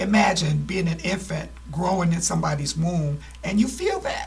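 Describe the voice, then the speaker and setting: There's noticeable background noise in this clip. A woman talks through it at a moderate pace. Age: 60s. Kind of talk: testimony.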